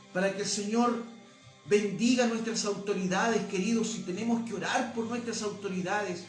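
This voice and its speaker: Music plays in the background and room echo is audible as a man with a high pitch talks at a moderate pace in a monotone, flat intonation. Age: 60s. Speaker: pastor. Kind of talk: sermon.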